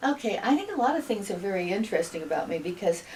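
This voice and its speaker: A woman with an American accent at a medium pitch, amid noticeable background noise. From US Midwest, northeast Iowa. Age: 70s. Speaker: retired teacher. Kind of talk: interview. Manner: halting, many fillers.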